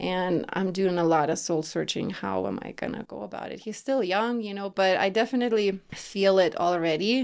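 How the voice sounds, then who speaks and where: On a very clean recording with a silent background, a woman with a Lithuanian accent speaks at a moderate pace, with ordinary pitch variation and hardly any pauses. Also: medium pitch for a woman, big swings in loudness. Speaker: women's empowerment coach. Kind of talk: casual interview. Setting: home studio, in person.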